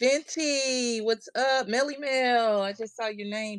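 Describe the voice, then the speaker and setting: Loud and at a very slow pace, a woman speaks with a high pitch and fairly even intonation. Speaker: craft livestream host. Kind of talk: casual livestream chat.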